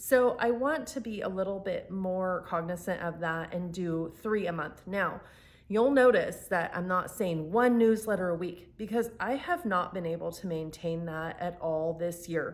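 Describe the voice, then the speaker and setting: A woman's medium pitch with ordinary variation, at a fairly slow pace with hardly any pauses. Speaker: fiction author and YouTuber. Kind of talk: casual vlog talk to camera.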